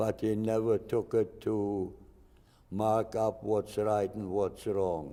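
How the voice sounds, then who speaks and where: A man's dark, mellow, fairly low voice in a German accent, monotone and flat in intonation, at a very slow pace. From Germany, Hesse. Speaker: Holocaust survivor. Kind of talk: interview testimony.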